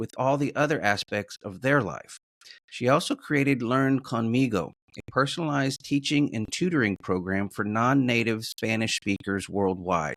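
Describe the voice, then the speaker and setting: In a plain, everyday voice, a man speaks at a moderate pace and medium pitch with lively intonation, the sound dry and close with no echo. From Texas, San Antonio. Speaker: podcast host. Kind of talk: scripted introduction; interview.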